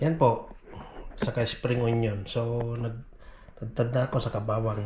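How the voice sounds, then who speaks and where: The talker keeps a fairly level intonation and a fairly unhurried tempo while noticeable background noise sits behind the voice. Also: man. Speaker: vlogger, OFW domestic worker. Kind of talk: casual vlog narration.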